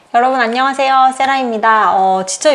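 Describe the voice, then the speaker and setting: The intonation is lively, with noticeable background noise behind the voice. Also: woman. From South Korea. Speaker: English study YouTuber. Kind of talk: casual vlog talk to camera. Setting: at home.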